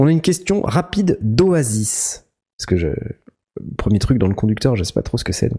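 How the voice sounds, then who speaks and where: Moving at a fairly quick clip with long, frequent pauses, the voice is dark and mellow, somewhat breathy, and swings very widely in pitch. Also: man. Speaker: podcast host. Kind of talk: casual chat. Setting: new empty studio.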